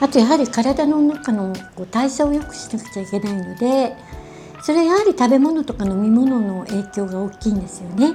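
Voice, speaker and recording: Over music in the background, a woman with a fairly high pitch talks with lively intonation and big swings in loudness. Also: moderate pace. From Japan. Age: 70s. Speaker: beauty and wellness personality. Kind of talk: casual how-to explanation to camera.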